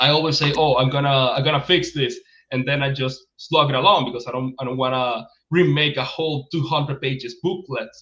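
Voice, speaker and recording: This man's voice has a bright, sharp tone and a fairly high pitch, with a Spanish accent. His intonation stays fairly even. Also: fairly quick pace. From Venezuela. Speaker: game writer and publisher. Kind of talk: interview. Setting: livestream. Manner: halting, many repetitions.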